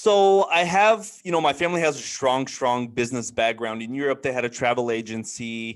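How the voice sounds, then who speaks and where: Against a quiet background, a man with a medium pitch talks at a moderate pace with lively intonation and hardly any pauses. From Bulgaria, moved to US after first grade (Dallas, then Chicago). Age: 20s. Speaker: trucking business owner. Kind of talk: interview. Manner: many fillers (um, you know).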